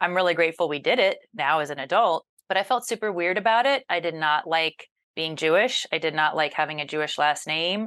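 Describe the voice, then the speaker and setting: Over a quiet background, a woman with a plain, everyday voice talks at a fairly quick pace, her fairly low pitch carried by lively intonation. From US South. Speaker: journalist and news anchor. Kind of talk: interview.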